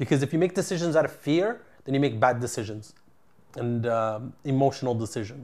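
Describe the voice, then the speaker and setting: A man with an unremarkable speaking voice talks in a Canadian accent at a moderate pace and medium pitch. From Ottawa, Canada. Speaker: entrepreneur, construction company CEO. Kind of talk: interview.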